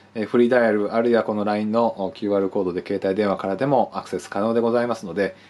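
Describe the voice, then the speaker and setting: Speaking at a very fast pace, a man uses a fairly low pitch and fairly even intonation. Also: hardly any pauses. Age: 40s. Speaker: art buyer and appraiser. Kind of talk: sales pitch. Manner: formal, polite. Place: office. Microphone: phone near.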